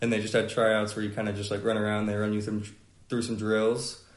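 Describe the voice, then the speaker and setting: Fairly quick, monotone, flat speech from a man with a fairly low pitch, with audible room echo. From Atlanta, Georgia. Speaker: college football player. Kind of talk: podcast interview. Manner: hesitant, many fillers.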